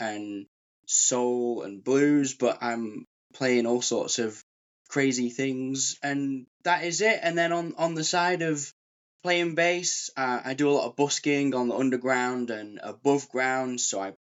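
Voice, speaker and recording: A man in a Lancashire accent, medium in pitch, at a fairly slow pace with ordinary pitch variation. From Preston, Lancashire, northern England. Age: 30s. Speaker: session bass player and busker. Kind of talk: casual interview chat.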